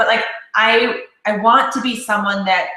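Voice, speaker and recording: Loud and bright with a sharp tone, a woman speaks at a fairly high pitch while the room echo is audible. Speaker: network marketing leader. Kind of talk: casual chat. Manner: animated.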